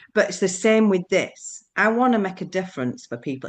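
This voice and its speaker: A woman with a Yorkshire accent speaks at a moderate pace with lively intonation against a quiet background. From Yorkshire, northern England. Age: 60s. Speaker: businesswoman sharing weight-loss experience. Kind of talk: live Q&A interview. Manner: hesitant, many repetitions.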